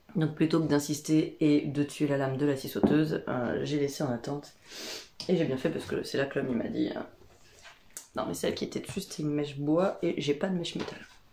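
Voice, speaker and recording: A woman's very deep, low voice with a dark, mellow tone, ordinary pitch variation and a fairly quick pace. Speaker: craft vlogger and wool dyer. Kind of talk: casual vlog monologue. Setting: workshop. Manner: hesitant, many fillers.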